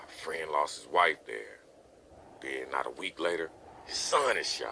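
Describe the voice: With lively intonation, a man puts on a character voice at an extremely low pitch, full of vocal fry and with a bright, sharp tone. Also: fairly slow pace.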